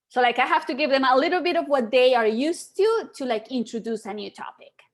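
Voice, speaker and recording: Very fast speech in a Spanish accent, with lively intonation and big swings in loudness. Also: woman, high pitch for a woman. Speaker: podcaster and photographer. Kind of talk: live video chat.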